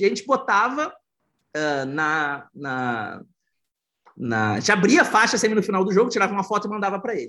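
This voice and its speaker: Against a quiet background, a man talks at a fairly quick pace and high pitch with very wide pitch swings. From southern Brazil, Porto Alegre. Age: 40s. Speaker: entrepreneur and football fan. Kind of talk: casual chat. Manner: animated.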